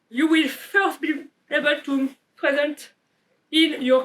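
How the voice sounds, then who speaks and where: Very slow speech in a French accent with fairly even intonation. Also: woman. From France. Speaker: developer advocate. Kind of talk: conference keynote.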